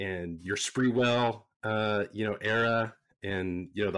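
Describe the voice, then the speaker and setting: A man with an American accent talks in an ordinary speaking voice, fairly low in pitch and with fairly even intonation. The recording is very clean with a silent background. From San Jose, California. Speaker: basketball fan and T-shirt business owner. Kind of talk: casual chat.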